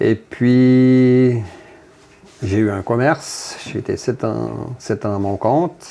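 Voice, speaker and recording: A man talks at a very slow pace, his pitch sitting in the medium range. His pitch varies in an ordinary way. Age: 60s. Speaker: factory worker and union delegate. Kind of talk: interview. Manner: halting, many hesitations.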